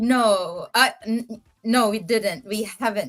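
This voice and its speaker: A woman speaks loudly. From Philippines. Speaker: podcast host. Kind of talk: casual chat. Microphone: too quiet, far from mic.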